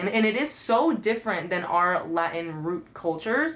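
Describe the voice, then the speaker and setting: The intonation is lively, heard over noticeable background noise. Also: woman. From Colombian family, raised in the US. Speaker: podcast co-host. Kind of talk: casual chat.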